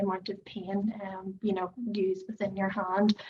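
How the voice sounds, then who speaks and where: A woman with an Irish accent speaks at a moderate pace in a somewhat breathy voice with monotone, flat intonation. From Ireland. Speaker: product founder. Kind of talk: product demonstration.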